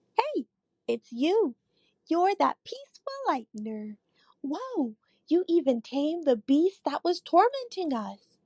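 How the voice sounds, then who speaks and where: A woman performs a put-on character voice at an extremely high pitch, with very wide pitch swings. She talks at a fairly slow pace. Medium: read story.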